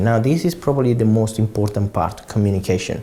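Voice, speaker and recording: A fairly low-pitched man with an Italian accent, a dark, mellow tone and a fairly quick pace. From Italy. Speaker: property investor. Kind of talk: interview answers. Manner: halting, with repeated words.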